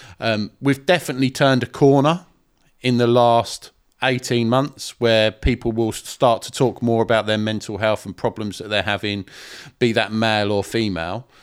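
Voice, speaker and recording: In a very clean recording with a silent background, a man speaks at a medium pitch with an English accent. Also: ordinary pitch variation, moderate pace. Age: 40s. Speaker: podcast host. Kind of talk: casual chat. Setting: studio.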